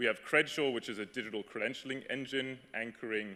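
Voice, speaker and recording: A man has an unremarkable speaking voice at a medium pitch and a fairly quick pace. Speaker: startup founder. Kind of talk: conference talk.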